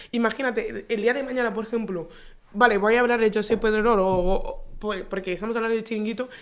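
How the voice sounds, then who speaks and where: The voice moves at a very fast pace. Its intonation is monotone and flat. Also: woman. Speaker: aspiring sports journalist, podcast host. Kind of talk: casual interview chat.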